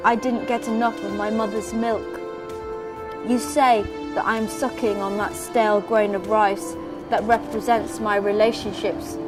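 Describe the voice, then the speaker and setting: A woman speaks at a fairly slow pace with very wide pitch swings while music plays in the background. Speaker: poet. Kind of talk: poetry reading.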